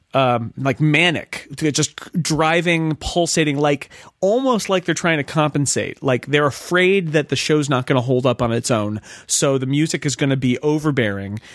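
An ordinary speaking voice moves at a moderate pace with ordinary pitch variation. Its loudness stays very even, in a dry, close sound with no echo. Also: man, fairly high pitch for a man. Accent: American. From United States. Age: 40s. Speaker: magazine editor and podcaster. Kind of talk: casual chat.

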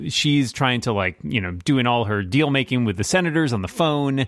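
A man with an ordinary speaking voice of medium pitch talks with lively intonation. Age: 40s. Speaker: podcast co-host. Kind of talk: casual chat.

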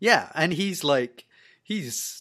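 A man at a very slow pace, in a very clean recording with a silent background. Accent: Scottish. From Scotland. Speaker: TV review podcast guest. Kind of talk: casual chat.

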